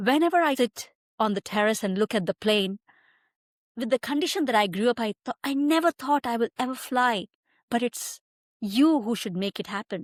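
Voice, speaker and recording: Speaking at a moderate pace with lively intonation, a woman with a Tamil accent and a fairly high pitch is heard in a dry, close sound with no echo on a very clean recording with a silent background. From India, near Mumbai (western India). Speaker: migration advisor. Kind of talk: podcast interview.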